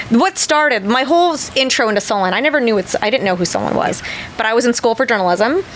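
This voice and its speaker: A woman talking at a very fast pace, animated, with a fairly high pitch, very wide pitch swings and noticeable background noise. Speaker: tattoo artist and convention host. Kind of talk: casual chat. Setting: studio.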